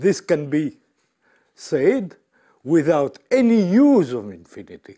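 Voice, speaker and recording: A man speaks at a high pitch. His voice moves in very wide pitch swings. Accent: French. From France. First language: French. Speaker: mathematician. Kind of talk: lecture. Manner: halting.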